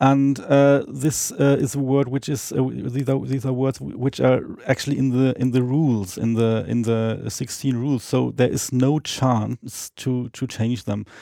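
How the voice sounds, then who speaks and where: In a very clean recording with a silent background, a man with a non-native accent speaks at a medium pitch and a fairly slow pace, his dark, mellow tone carrying fairly even intonation and hardly any pauses. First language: not English. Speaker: Esperanto speaker guest. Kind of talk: casual interview on language. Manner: halting with many fillers.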